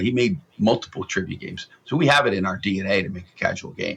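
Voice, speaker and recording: Talking at a very fast pace, a man has an American accent. His tone is bright and sharp. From US West Coast, San Francisco Bay Area. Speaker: game studio founder. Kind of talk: interview. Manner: animated.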